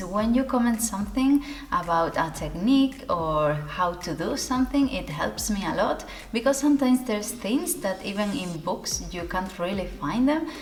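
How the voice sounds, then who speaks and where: A woman with a non-native accent speaks at a fairly high pitch with very wide pitch swings. Audible room echo and noticeable background noise are present. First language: not English. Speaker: sewing youtuber. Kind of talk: casual talk to camera. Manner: conversational, some hesitations.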